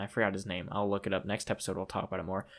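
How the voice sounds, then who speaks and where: This is a man recorded very cleanly against a silent background. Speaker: podcast co-host. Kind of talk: casual chat. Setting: home setup with table and mics.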